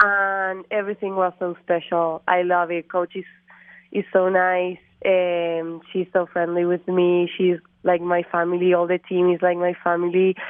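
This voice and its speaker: A woman with an Argentine accent, fairly low in pitch, monotone and flat, at a fairly slow pace. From Argentina. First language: Spanish. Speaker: college golfer. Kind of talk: interview. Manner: halting.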